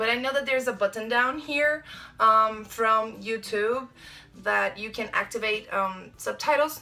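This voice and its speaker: Speaking in a Brazilian accent, a woman uses a fairly high pitch and a bright, sharp tone. She talks at a fairly slow pace with ordinary pitch variation. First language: Portuguese. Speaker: vlogger. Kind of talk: casual vlog talk. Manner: hesitant, many fillers.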